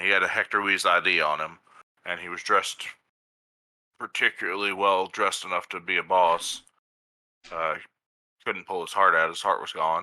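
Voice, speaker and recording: Using a raspy put-on character voice, a man speaks at a moderate pace. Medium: actual play. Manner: careful, hedging.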